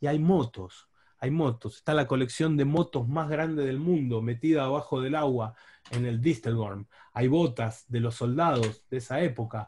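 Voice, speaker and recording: The man's tone is dark and mellow, and somewhat breathy. He speaks at a medium pitch with ordinary pitch variation. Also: moderate pace, quiet background. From Buenos Aires, Argentina. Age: 40s. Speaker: diving instructor and underwater photographer. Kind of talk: online talk with slides.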